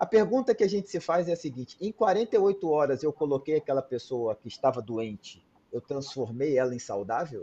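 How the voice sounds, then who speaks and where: Recorded dry and close with no echo, a man's fairly high-pitched voice has a dark, mellow tone and very wide pitch swings. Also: moderate pace, hardly any pauses. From Brazil. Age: 40s. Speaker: cardiologist. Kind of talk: interview. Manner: animated.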